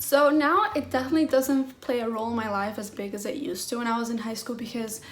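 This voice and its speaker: Music plays in the background as a woman talks at a fairly quick pace, and the room echo is audible. Her pitch is fairly high, with ordinary variation. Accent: American. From mostly US, early years in Venezuela. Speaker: mental health vlogger. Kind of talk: personal vlog. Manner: casual, many fillers.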